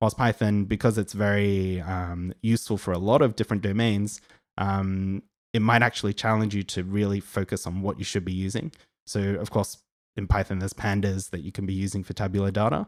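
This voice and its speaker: A man with an Australian accent speaks at a fairly quick pace and fairly low pitch with fairly even intonation. The recording is very clean with a silent background, and the sound is dry and close with no echo. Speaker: data science educator. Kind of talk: live Q&A stream. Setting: live stream. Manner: casual, filler-heavy.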